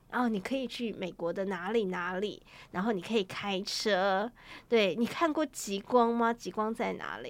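Heard in a very clean recording with a silent background, a woman uses a plain, everyday voice at medium pitch with ordinary pitch variation. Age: 40s. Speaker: travel writer. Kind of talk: interview.

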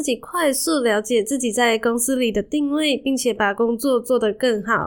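Pitched high, a woman's voice moves at a moderate pace with ordinary pitch variation. The recording is very clean and the background silent. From Malaysia. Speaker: podcast host. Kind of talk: solo podcast monologue.

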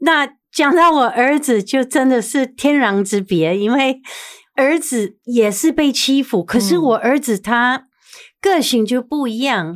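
A woman with an English accent speaks very slowly in a high voice with lively intonation, on a very clean recording with a silent background. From US, New York. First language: English (speaking Chinese). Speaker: TV personality. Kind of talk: interview.

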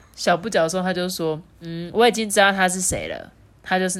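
What we hear is a natural reading voice.

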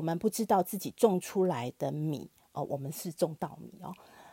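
Fairly slow and dark, mellow in tone, a woman's fairly low voice comes through dry and close with no echo on a very clean recording with a silent background. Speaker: podcast host for a consumer cooperative. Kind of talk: interview.

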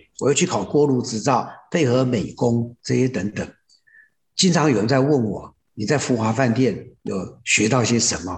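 A man's somewhat breathy, medium-pitched voice with lively intonation at a fairly slow pace. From Taiwan, raised in Hsinchu (Zhudong). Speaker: rural hotel operator. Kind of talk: interview.

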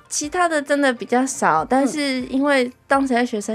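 There is music in the background as a woman talks. Her voice is high-pitched with ordinary pitch variation. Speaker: music ensemble administrator. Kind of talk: interview chat. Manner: laughs often.

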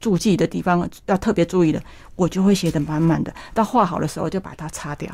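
A woman speaks at a fairly quick pace in a fairly low voice with a dark, mellow tone and ordinary pitch variation. The recording is very clean, with a silent background. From Taiwan, Yunlin County. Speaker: botanical painter. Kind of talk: interview.

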